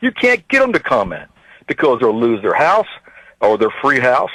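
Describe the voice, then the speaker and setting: The speech moves at a moderate pace, with a dry, close sound and no echo. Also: man. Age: 50s. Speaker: caller, self-employed construction contractor. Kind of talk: radio call-in rant. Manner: animated.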